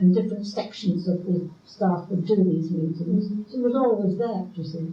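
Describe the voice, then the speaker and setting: A woman is speaking. She talks with an English accent. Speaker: retired midwife. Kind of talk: oral history interview answer.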